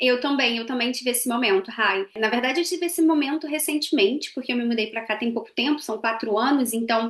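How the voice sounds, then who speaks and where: Over noticeable background noise, a woman with a high pitch talks at a fairly quick pace with hardly any pauses. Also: ordinary pitch variation. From Brazil. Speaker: podcast co-host, marketing professional. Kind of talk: casual conversation.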